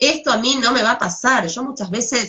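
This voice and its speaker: A woman speaks in a Rioplatense accent with lively intonation. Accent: Argentine Rioplatense Spanish. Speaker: psychologist. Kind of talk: talk on adolescence.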